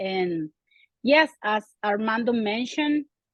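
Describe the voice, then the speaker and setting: A woman talks in a Venezuelan accent at a very slow pace. Her pitch varies in an ordinary way. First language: Spanish. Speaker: community organizer. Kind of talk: interview.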